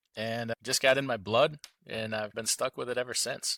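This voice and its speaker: A man with a strong Midwestern accent at a fairly quick pace, bright and sharp in tone, on a very clean recording with a silent background and a dry, close sound with no echo. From Central Wisconsin, US Midwest. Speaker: truck owner and trucking entrepreneur. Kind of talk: podcast interview.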